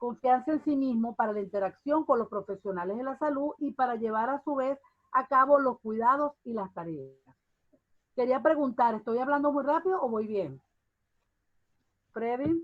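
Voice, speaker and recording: A high-pitched woman's voice with lively intonation and long, frequent pauses. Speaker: university lecturer. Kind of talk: online lecture. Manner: fast.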